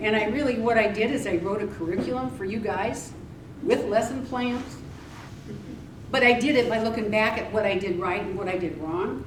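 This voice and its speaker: Noticeable background noise and audible room echo surround a woman with a fairly high pitch. She speaks at a moderate pace with ordinary pitch variation. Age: 70s. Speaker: weight loss speaker and author. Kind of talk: presentation to a live audience. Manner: casual, hesitant with fillers.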